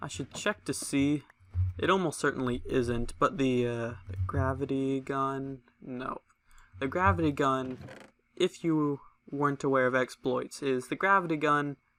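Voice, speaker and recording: A man speaks softly at medium pitch. His pace is moderate and his pitch varies in an ordinary way. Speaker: gaming video creator. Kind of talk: let's play commentary. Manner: soft-spoken; casual.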